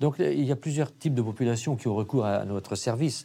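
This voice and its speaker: With a dark, mellow tone, a man speaks at a fairly quick pace with ordinary pitch variation. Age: 70s. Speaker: retired doctor. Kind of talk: interview. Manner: halting.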